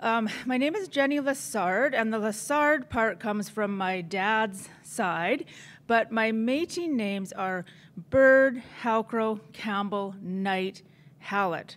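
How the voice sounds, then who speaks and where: A woman's fairly high voice with a Canadian Prairie accent, very slow pace and lively intonation. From northern Saskatchewan, Canada. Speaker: chef. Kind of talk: conference presentation.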